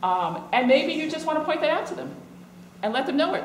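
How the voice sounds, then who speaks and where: A woman with an American accent at a fairly quick pace, with audible room echo and noticeable background noise. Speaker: law professor. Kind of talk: conference talk. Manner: fast.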